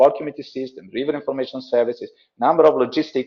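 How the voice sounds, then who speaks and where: A man speaks with an Italian accent. His pace is very fast. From Italy. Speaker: logistics company director, webinar presenter. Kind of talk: webinar presentation. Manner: halting, many fillers and repetitions.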